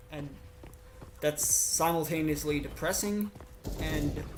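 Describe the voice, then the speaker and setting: Very slow pace with noticeable background noise. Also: man. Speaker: gamer streamer. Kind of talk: casual gaming commentary. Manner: halting.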